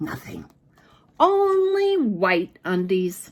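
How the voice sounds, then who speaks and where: Very wide pitch swings mark a woman's playful tone as she speaks at a very slow pace. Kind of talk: read-aloud for children. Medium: read story. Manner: expressive, playful spooky emphasis.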